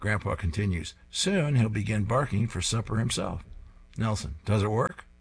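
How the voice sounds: The speaker reads in a natural voice whose pitch varies in an ordinary way.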